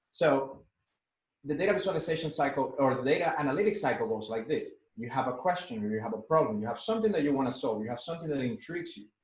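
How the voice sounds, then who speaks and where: A man's fairly high, somewhat breathy voice with a Spanish accent, very fast, with very wide pitch swings and audible room echo. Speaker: data analytics instructor. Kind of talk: workshop tutorial. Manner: halting with many fillers.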